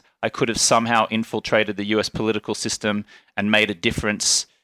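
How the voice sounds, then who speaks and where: A man's fairly low, bright and sharp voice with an Australian accent, fairly quick and monotone, dry and close with no echo on a very clean recording with a silent background. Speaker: entrepreneur and podcast host. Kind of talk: casual conversation. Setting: office in a villa.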